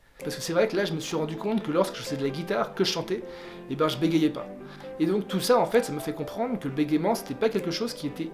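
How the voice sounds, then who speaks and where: A man's high voice, very fast and lively in intonation, with music in the background. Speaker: lawyer and legal digital consultant. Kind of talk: casual talk to camera.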